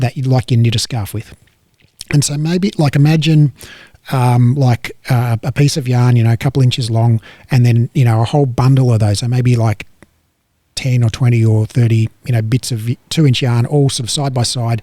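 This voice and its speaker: A man's medium-pitched, somewhat breathy voice with a dark, mellow tone and an Australian accent, at a moderate pace with fairly even intonation. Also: dry, close sound with no echo. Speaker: fitness educator. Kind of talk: casual educational chat. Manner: halting, repetitive.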